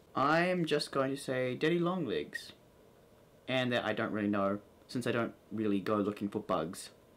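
A man's medium-pitched voice with an American accent at a moderate pace. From New Zealand. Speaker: vlogger. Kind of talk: casual talk to camera. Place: home room. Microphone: camera far.

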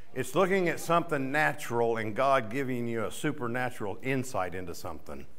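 A man's fairly quick speech with lively intonation. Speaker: preacher or worship leader. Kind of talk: sermon. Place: church. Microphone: studio mic.

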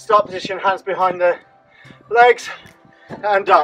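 Faint music plays in the background as a man speaks. His voice is raised and projected, at a fairly slow pace. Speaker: fitness instructor. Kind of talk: workout instruction. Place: garden. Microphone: camera far.

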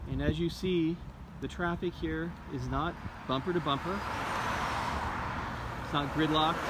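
A man speaks at a moderate pace while loud background noise fills the recording. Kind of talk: casual commentary. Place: street. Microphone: phone near.

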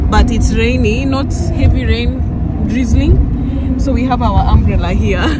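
A woman at a moderate pace, a dry sound with no echo, and loud background noise. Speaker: travel vlogger. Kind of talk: casual vlog chat. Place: car. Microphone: phone near.

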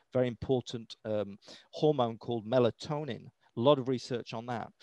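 A British accent at a moderate pace with ordinary pitch variation, in a dry sound with no echo and a quiet background. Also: man. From Britain. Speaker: EMF health educator. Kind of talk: interview. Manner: casual, with many fillers. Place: home room. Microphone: headset.

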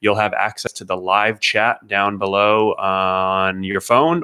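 In a quiet background, a man speaks at a fairly low pitch with fairly even intonation. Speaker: rideshare channel host. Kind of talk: live stream commentary. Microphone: studio mic.

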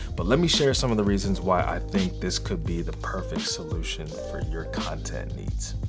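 Clear music sounds behind the speaker. He is a man talking at a moderate pace. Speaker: tech video creator. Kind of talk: product review talk to camera. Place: home room.

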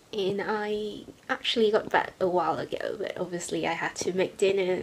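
This is a woman speaking at a moderate pace. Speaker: university student. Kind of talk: casual vlog talk to camera. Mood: cheerful, smiling. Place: home room. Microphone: webcam.

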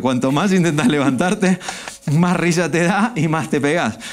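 A man speaks in an unremarkable speaking voice. His pace is fairly quick, with ordinary pitch variation. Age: 40s. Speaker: stage hypnotist; guest. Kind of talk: hypnotic induction; interview chat.

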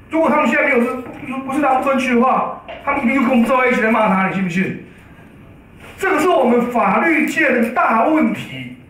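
Audible room echo surrounds a man talking at a very fast pace. His extremely high pitch has ordinary variation, with very even loudness. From Taiwan. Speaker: law professor. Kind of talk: press conference remarks. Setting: press conference room. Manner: animated. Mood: critical, sarcastic. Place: meeting room.

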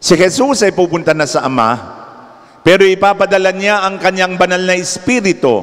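A man is speaking here. His pace is fairly slow. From Philippines. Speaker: preacher. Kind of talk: sermon, Tagalog-English mix, urgent homily on end times and spiritual battle. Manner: earnest, solemn, exhorting. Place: church. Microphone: handheld.

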